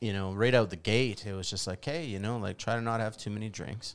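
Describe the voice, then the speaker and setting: In a very clean recording with a silent background, a man with a Canadian accent and an unremarkable speaking voice talks fairly quickly at medium pitch with ordinary pitch variation. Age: 40s. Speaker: bar owner. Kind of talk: casual chat.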